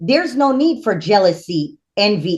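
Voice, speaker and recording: A woman's somewhat breathy voice moves at a moderate pace with very wide pitch swings. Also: quiet background. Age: 50s. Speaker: spiritual priestess. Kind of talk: casual interview conversation.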